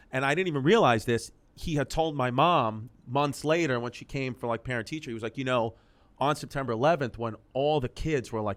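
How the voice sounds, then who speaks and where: A man with a New York accent, an animated tone and medium pitch. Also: very clean recording, silent background. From New York City, Queens. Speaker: comedian. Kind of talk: casual interview chat. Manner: fast, animated.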